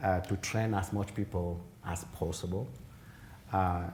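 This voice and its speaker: A man's very deep, low voice, dark, mellow and somewhat breathy, monotone and flat, at a moderate pace with audible room echo. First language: African mother tongue, then French. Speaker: genetics professor, keynote speaker. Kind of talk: conference Q&A answer. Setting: conference hall, also streamed online. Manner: halting, with repetitions and fillers.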